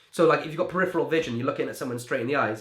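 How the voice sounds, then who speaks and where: A man talks with a fairly high pitch. His pitch variation is ordinary. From Wales. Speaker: magician. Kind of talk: interview. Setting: video call. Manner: halting with repetitions.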